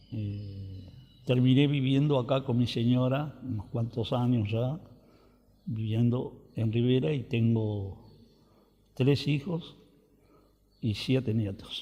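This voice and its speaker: Man's medium-pitched, somewhat breathy voice with a dark, mellow tone, ordinary pitch variation, a very slow pace and long, frequent pauses. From Argentina, rural Buenos Aires province. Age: 70s. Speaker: interviewee, retired farmer. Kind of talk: oral history interview. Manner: hesitant fillers.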